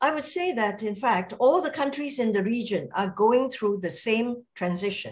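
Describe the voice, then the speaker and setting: A somewhat breathy woman at a fairly slow pace. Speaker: invited distinguished lecturer. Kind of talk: lecture. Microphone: video call.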